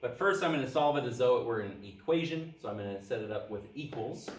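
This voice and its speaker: A man is speaking. Audible room echo and noticeable background noise surround him. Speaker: math teacher. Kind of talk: lecture.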